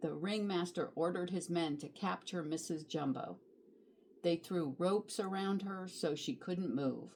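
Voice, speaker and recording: This woman has a normal speaking voice, fairly low in pitch, with ordinary pitch variation and a fairly slow pace. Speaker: grandmotherly storybook reader. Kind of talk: children's picture book read-aloud.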